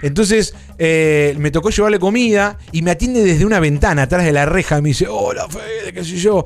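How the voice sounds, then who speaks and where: In an Argentine accent, a man with a high pitch talks at a fairly quick pace with lively intonation and hardly any pauses, over noticeable background noise. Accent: Rioplatense Argentine Spanish. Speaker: podcast host. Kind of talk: casual live-stream chat. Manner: animated.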